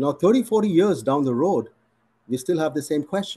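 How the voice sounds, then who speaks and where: With a dark, mellow tone and very wide pitch swings, a man talks at a moderate pace. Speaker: physician. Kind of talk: interview Q&A. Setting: video call. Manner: formal. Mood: reflective, earnest. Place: home room. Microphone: video call.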